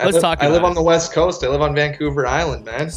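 Through noticeable background noise, a man with a strong Canadian accent talks fairly quickly at a fairly high pitch, his intonation fairly even. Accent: thick Canadian. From Ottawa, Canada; lives in Victoria, BC. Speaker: radio call-in guest. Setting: phone.

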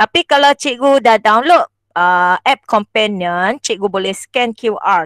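A woman at a fairly slow pace, dry sound with no echo, against a quiet background. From Malaysia, Perak (Setiawan); Perak, Malaysia. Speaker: schoolteacher and workshop presenter; workshop trainer. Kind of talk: online teaching workshop tutorial. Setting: video call. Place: home room. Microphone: handheld.

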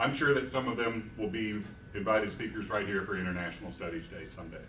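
Very fast speech with audible room echo and light background noise. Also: man. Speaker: university administrator. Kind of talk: formal opening remarks. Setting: stage with audience. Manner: formal. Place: hall. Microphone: podium.

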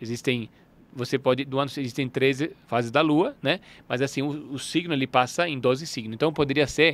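With an Italian accent, a man speaks at a moderate pace in a fairly high pitch with fairly even intonation, on a very clean recording with a silent background. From northern Italy, Turin. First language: Italian (speaking Portuguese). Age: 40s. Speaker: alchemy teacher. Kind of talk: interview. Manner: halting.

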